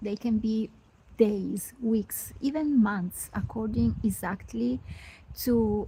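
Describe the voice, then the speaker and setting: Speaking in an Italian accent, a woman talks in a calm tone at a very slow pace. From Italy. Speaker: spiritual mentor. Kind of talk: live stream talk. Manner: hesitant fillers.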